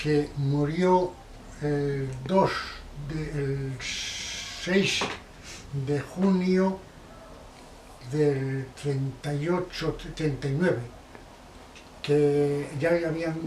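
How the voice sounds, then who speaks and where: A man with a fairly high pitch and fairly even intonation, at a very slow pace with long, frequent pauses, amid audible room echo and noticeable background noise. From Basque Country, Spain (Barakaldo/Bilbao). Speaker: interviewee recalling the Spanish Civil War. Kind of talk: oral history interview. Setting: at his home.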